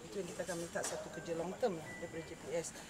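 Loud background noise fills the recording. A woman is speaking over it. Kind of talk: press interview answer. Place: street. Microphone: handheld.

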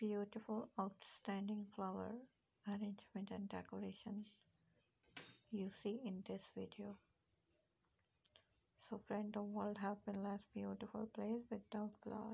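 A woman's medium-pitched voice, dark and mellow with vocal fry and a slightly husky edge, monotone and flat in intonation, at a fairly slow pace with long, frequent pauses.

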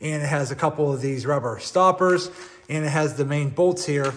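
Light background noise sits behind a man's voice. He speaks at a moderate pace with fairly even intonation. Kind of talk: tutorial. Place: garage. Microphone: phone near.

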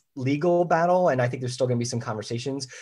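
On a very clean recording with a silent background, a man with an American accent has a plain, everyday voice of medium pitch and ordinary pitch variation. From US Northeast, Philadelphia. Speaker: leadership consultant and author. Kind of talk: interview.

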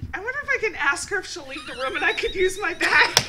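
Over loud background noise, a woman projects a raised voice at an extremely high pitch and a fairly quick pace. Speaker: talk show co-host. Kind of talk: casual chat. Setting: studio. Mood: playful, frank, laughing. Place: studio. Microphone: studio mic.

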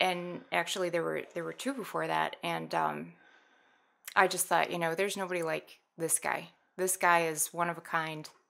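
A woman speaks with an American accent at a moderate pace. The background is quiet. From US Midwest (Minnesota, South Dakota, Wisconsin). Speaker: skydiver who lost her partner to veteran suicide; guest. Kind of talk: personal testimony in interview. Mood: somber, reflective. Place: studio. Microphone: studio mic.

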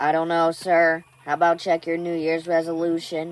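Someone puts on a robotic character voice at a middle pitch, speaking at a moderate pace in a monotone, flat intonation. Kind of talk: polite, servile.

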